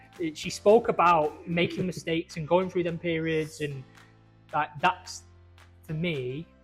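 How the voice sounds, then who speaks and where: Music plays in the background as a man speaks in a high voice. His pace is fairly slow and his intonation fairly even. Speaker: pizza maker, podcast host. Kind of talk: casual interview chat.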